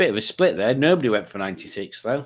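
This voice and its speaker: A man with a Yorkshire accent talks at a very fast pace in a very clean recording with a silent background. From Yorkshire, northern England. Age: 50s. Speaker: quiz show host streamer. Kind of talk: casual livestream quiz.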